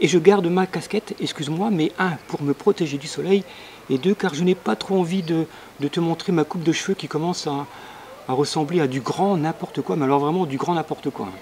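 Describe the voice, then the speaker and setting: Over noticeable background noise, the speaker moves at a fairly quick pace with ordinary pitch variation. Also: man, fairly high pitch for a man. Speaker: local TV co-presenter. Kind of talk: casual chat. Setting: outdoors on home terrace, video link. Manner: soft-spoken.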